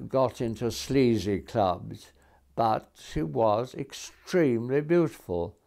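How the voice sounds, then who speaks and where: Speaking at a very slow pace, a man with a medium pitch and a dark, mellow tone uses lively intonation. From England. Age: 80s+. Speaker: lawyer. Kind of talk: interview. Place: home room. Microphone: lapel.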